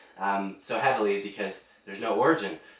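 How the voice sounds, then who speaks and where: A man talks fairly quickly, with audible room echo and noticeable background noise. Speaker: movie reviewer. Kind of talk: casual movie review monologue.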